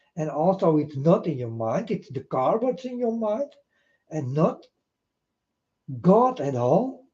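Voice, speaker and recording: A man speaks fairly slowly at a high pitch, his tone dark and mellow. His pitch swings very widely, and long, frequent pauses recur. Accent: Dutch. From Netherlands. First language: Dutch. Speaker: video blogger. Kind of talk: rambling monologue to camera. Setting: self-recorded on camera.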